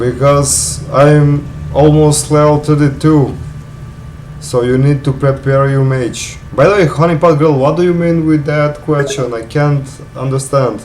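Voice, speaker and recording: A man with a non-native accent, fairly high-pitched, at a fairly slow pace with fairly even intonation, plus noticeable background noise and audible room echo. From North Macedonia, Balkans. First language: Macedonian. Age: 20s. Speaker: gaming streamer. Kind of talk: live gameplay stream chat.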